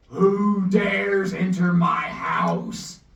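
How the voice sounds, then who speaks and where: This booming, growling put-on character voice sits at a middle pitch with a slight echo. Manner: commanding.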